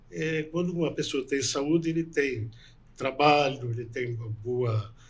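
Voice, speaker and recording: A man's somewhat breathy voice at medium pitch, with ordinary pitch variation and a fairly slow pace. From northwest Paraná, Brazil. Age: 60s. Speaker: doctor and political candidate. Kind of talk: interview.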